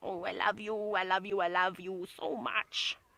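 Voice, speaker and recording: A woman speaks in a put-on character voice at a medium pitch. Her pace is moderate. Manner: cute, affectionate.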